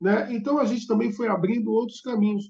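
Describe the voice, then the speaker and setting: A man talks with a high pitch. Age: 60s. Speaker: bus historian and hobbyist. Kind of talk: podcast interview.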